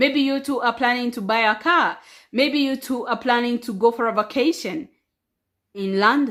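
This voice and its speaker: A woman speaks loudly at a moderate pace, her high pitch showing ordinary variation. The recording is very clean, with a silent background. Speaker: relationship advice vlogger. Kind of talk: casual vlog monologue. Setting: at home. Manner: animated.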